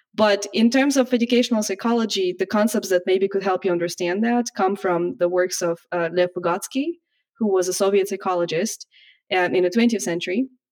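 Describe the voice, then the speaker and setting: A woman with a Russian accent talks at a medium pitch with ordinary pitch variation. Her pace is fairly quick. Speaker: educational psychology professor. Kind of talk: casual chat.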